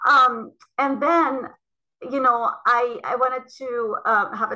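A woman's high-pitched voice comes out raised and projected, with a bright, sharp tone. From Lebanon. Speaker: cytogeneticist. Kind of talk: interview.

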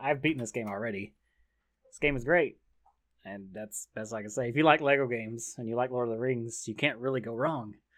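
At a fairly quick pace, a man speaks in a normal speaking voice with a medium pitch and ordinary pitch variation. His loudness swings widely. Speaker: podcast host. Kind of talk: casual chat.

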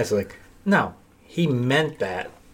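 A man at a very slow pace. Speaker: podcast host. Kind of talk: casual chat.

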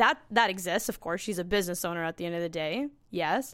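In a Canadian accent, a woman with an unremarkable speaking voice talks at a fairly quick pace and medium pitch, with ordinary pitch variation, on a very clean recording with a silent background. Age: 30s. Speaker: sales director. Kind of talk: casual chat. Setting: company boardroom.

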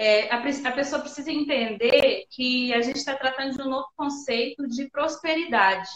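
A high-pitched woman at a fairly slow pace, with ordinary pitch variation. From northern Minas Gerais, Brazil. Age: 30s. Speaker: salon owner and entrepreneur. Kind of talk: interview on a live stream.

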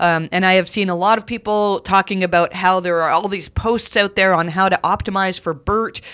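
A woman with a Canadian accent has a normal speaking voice. She talks at medium pitch and a moderate pace with ordinary pitch variation. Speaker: podcast host, SEO consultant. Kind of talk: solo podcast monologue. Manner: many filler words (um, uh).

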